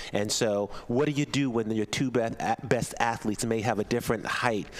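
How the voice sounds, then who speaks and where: In an ordinary speaking voice, a man with an American accent talks at a moderate pace and medium pitch with fairly even intonation. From US Mid-Atlantic. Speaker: rowing commentator. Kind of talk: live commentary.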